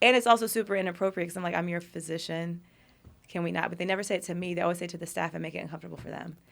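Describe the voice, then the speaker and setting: Big swings in loudness mark very fast speech in an American accent. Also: woman, fairly low pitch for a woman, fairly even intonation. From US Midwest, Kansas City. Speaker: dermatologist and hair transplant surgeon. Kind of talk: casual chat.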